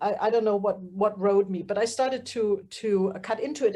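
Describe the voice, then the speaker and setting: Her tone dark and mellow, a woman with a German accent speaks at a moderate pace. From Germany. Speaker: fiber artist. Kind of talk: casual group chat.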